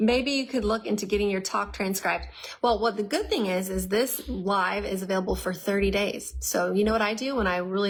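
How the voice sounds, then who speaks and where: At a very fast pace, a woman talks in an animated tone at a medium pitch. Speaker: herbal health educator. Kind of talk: live Q&A stream.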